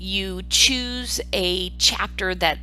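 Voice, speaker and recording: A woman with an Ohio Valley accent, audible room echo and music in the background. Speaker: university professor. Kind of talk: online course lecture. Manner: conversational, with filler ums.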